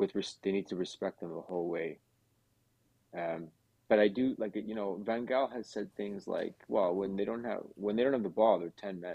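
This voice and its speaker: With a normal speaking voice, a man talks at a moderate pace and fairly low pitch. His pitch variation is ordinary. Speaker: Argentina football fan guest.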